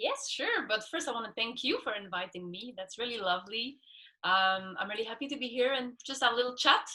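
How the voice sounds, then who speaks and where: With a Quebec accent, a woman speaks in a bright, sharp tone at a fairly high pitch, with ordinary pitch variation. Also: fairly quick pace. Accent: French Canadian accent in English. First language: French. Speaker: scuba instructor and ocean activist. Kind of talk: interview.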